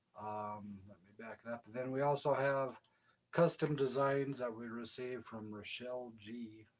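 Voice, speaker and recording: A man speaks quietly at a fairly slow pace. His intonation stays fairly even. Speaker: co-host of a family channel. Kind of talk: casual chat. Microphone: too quiet, mic pointed away from him.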